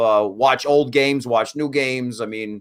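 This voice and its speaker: The recording is very clean and the background silent. Over it, a man talks with normal rises and falls in pitch. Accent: Brooklyn. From US Northeast, Brooklyn, New York. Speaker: hockey draft analyst. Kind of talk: casual podcast interview. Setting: live stream.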